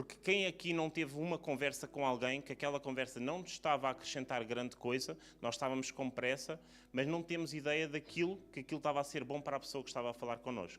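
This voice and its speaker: The man's voice is fairly high in pitch. He speaks at a very fast pace. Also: ordinary pitch variation. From Portugal. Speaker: preacher. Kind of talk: sermon. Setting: church service.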